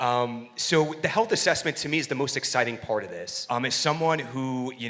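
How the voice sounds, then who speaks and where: A loud man talks at a fairly quick pace in a bright, sharp tone. His pitch is medium, with ordinary variation. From New York. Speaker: coaching company executive. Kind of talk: workshop panel talk. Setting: seminar venue with live audience. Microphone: microphone may be cutting out.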